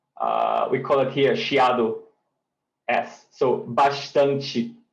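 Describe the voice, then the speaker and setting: Room echo can be heard. Within it, a man talks at a very slow pace. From Northeast Brazil. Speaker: native speaker guest. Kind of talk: casual language lesson chat.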